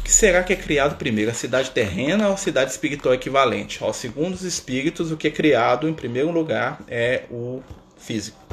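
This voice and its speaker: Using an ordinary speaking voice, a man talks at a fairly quick pace and a fairly high pitch. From Minas Gerais, Brazil (Contagem). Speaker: spiritist study leader. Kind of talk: livestream talk. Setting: Instagram live stream. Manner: relaxed, filler-heavy with frequent né.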